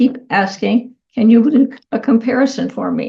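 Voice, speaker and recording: A woman's fairly high voice with a dark, mellow tone and vocal fry, ordinary pitch variation and a moderate pace. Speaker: tech tutorial host. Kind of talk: tutorial. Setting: screen-share video recording. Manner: casual, conversational.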